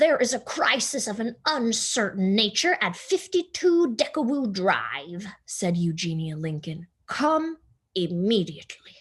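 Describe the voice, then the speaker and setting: Using a put-on character voice, a woman with a fairly high pitch speaks at a fairly slow pace with very wide pitch swings. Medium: read story. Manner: bossy, emphatic.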